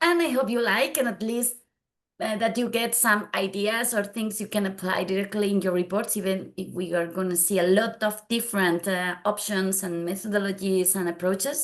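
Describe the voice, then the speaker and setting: A woman speaks with a Spanish accent at a medium pitch. Her pace is moderate and her pitch varies in an ordinary way. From Spain. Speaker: data visualization consultant. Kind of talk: conference tutorial. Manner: halting non-native speech.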